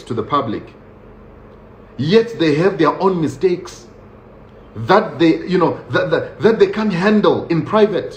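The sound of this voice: There is audible room echo as a man speaks at a fairly slow pace. His fairly high voice carries lively intonation.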